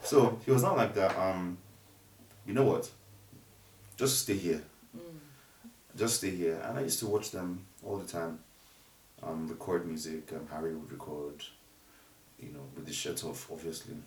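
A man with a very deep, low pitch talks at a moderate pace with lively intonation, big swings in loudness, long, frequent pauses and audible room echo. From Nigeria, Ogun State. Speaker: music producer. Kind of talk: casual interview.

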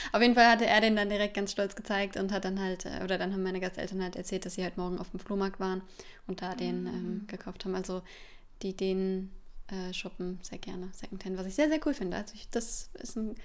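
Over noticeable background noise, a woman talks at a very fast pace. Her medium pitch carries fairly even intonation. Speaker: au pair. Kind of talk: casual chat. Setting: studio.

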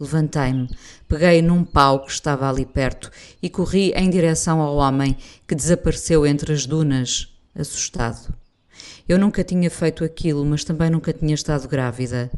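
Against a quiet background, a woman with a European Portuguese accent speaks at a very deep, low pitch and a moderate pace, her intonation fairly even. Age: 50s. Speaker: radio presenter and writer. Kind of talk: reading aloud a personal essay.

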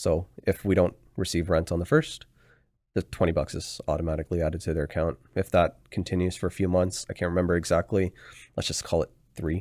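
Over a very clean recording with a silent background, a man with a Canadian accent talks at a fairly quick pace in a very deep, low pitch with fairly even intonation. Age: 30s. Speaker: real estate investor. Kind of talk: casual chat.

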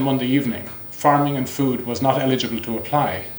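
At a moderate pace and medium pitch, a man speaks with fairly even intonation over noticeable background noise. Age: 50s. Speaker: company executive. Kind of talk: conference talk.

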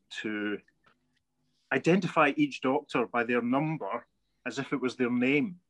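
The sound is dry and close, with no echo. A man speaks at a fairly slow pace with lively intonation. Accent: west of Scotland. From Scotland, Paisley. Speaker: podcast co-host. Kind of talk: casual chat.

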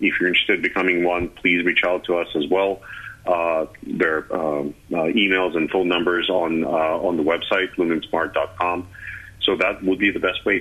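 A man with a Russian accent at a very deep, low pitch, moderate pace, monotone, flat intonation and very even loudness. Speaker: energy company executive. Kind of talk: radio interview.

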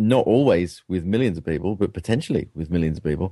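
A fairly low male voice at a fairly quick pace, with ordinary pitch variation. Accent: British. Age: 40s. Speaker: professor. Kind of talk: interview.

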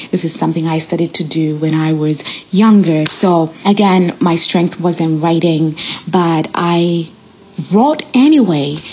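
Over noticeable background noise, a woman with a non-native accent speaks at a fairly slow pace, her fairly low pitch held in fairly even intonation. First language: not English. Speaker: podcast host and nurse. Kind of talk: solo motivational monologue.

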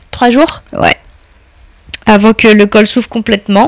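A woman's medium-pitched voice, dry and close with no echo, over noticeable background noise. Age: 30s. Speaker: blind mother. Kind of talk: interview. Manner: halting.

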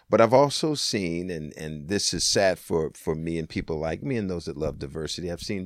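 The recording is very clean, with a silent background. A man with an American accent speaks at a very deep, low pitch. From Washington State, US. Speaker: political science professor and pastor. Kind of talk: interview. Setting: in person at a college.

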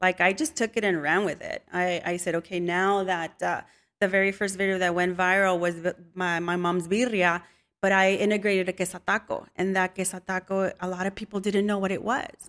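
With a Spanish accent, a woman speaks fairly quickly at a medium pitch, her intonation fairly even. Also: very clean recording, silent background. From Mexican-American, US. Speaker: home cook and social media creator. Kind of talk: casual interview.

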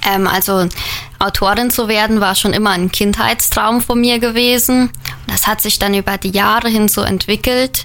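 Over noticeable background noise, a woman speaks at a moderate pace with a fairly high pitch, fairly even intonation and very even loudness. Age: 20s. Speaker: author and trainee educator. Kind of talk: radio interview.

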